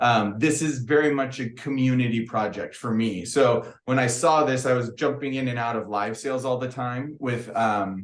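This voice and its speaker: This man's voice sits at a medium pitch with fairly even intonation. He speaks at a moderate pace. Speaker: crystal business owner. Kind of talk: podcast interview. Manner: loud; casual, rambling with many fillers.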